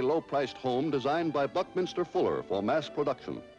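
Clear music plays in the background as a man talks with an American accent. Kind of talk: newsreel narration. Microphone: old recording.

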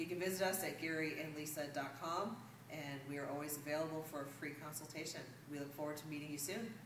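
Through noticeable background noise, a woman with a very deep, low pitch talks at a fairly quick pace with fairly even intonation. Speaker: real estate agent. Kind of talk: promotional market update video. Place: meeting room. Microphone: camera far.

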